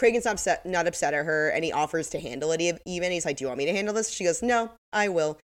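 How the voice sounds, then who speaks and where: A woman speaks at a very fast pace with hardly any pauses. Her fairly low-pitched voice has an animated tone. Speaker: podcast co-host. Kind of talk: casual chat. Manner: animated, laughs often.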